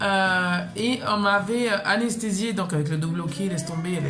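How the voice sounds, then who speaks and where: Music plays in the background as a woman with a medium pitch talks at a moderate pace with ordinary pitch variation. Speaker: mother, vlogger. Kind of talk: casual talk to camera.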